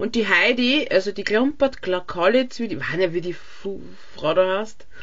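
Lively intonation runs through an unremarkable speaking voice that keeps to a fairly slow pace. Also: woman. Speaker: podcast co-host. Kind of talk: casual chat. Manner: laughs often.

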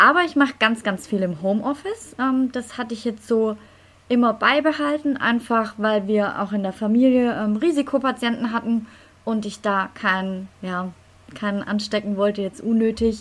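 A woman with an unremarkable speaking voice, fairly high in pitch, talks at a moderate pace with ordinary pitch variation. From Stuttgart, Germany. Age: 30s. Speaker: lawyer and dressage rider. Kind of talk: casual interview.

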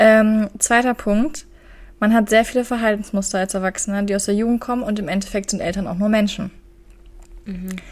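A woman speaks in a somewhat breathy voice with fairly even intonation. Long, frequent pauses break up her speech. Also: fairly high pitch for a woman, moderate pace. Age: 20s. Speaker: podcast co-host. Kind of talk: casual chat.

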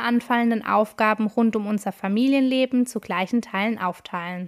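With a fairly high pitch, a woman talks at a moderate pace in a normal speaking voice. The recording is very clean, dry and close, with no echo and a silent background. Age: 30s. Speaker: podcast host, family coach. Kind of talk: scripted intro.

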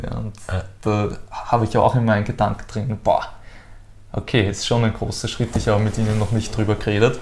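In an ordinary speaking voice, a man talks at a moderate pace and a fairly low pitch. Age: 20s. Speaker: former driving instructor and cycling world traveler. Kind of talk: personal interview.

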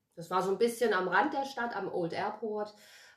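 A woman talks at a moderate pace, her pitch varying in an ordinary way, with noticeable background noise present. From Germany, Wiesbaden (Hesse) then Addis Ababa. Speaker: actress and life coach. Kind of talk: casual chat.

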